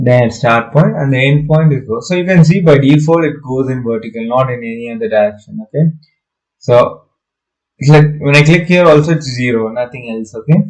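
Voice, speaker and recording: This man's voice is fairly high in pitch and somewhat breathy. He talks at a fairly quick pace with ordinary pitch variation. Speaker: architecture software tutor. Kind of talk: tutorial. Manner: hesitant, many fillers.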